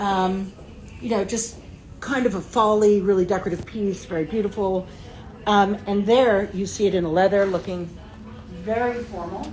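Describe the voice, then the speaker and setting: Medium-pitched female speech at a moderate pace, with noticeable background noise and audible room echo. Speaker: interior designer. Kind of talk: showroom walkthrough. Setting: trade show showroom. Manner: enthusiastic. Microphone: muffled by face mask.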